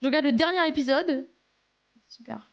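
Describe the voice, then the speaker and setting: The voice is a woman's, pitched high. She talks at a moderate pace. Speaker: live streamer. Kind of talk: casual chat reading live chat. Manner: animated, halting.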